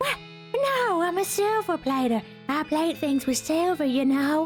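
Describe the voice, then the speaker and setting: Fairly slow delivery in a put-on character voice, clear background music underneath. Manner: creepy.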